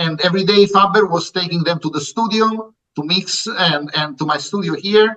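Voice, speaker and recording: A man with an Italian accent uses a raised, projected voice, high in pitch, bright and sharp in tone, with ordinary pitch variation. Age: 60s. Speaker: music producer. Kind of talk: interview. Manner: halting.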